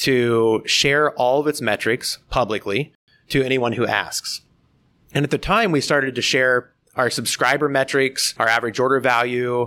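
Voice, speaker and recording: In a very clean recording with a silent background, a man with an American accent speaks at a moderate pace and medium pitch, his bright, sharp tone showing ordinary pitch variation in a dry, close sound with no echo. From US Midwest, southeast Iowa. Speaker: startup founder and CEO. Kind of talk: interview.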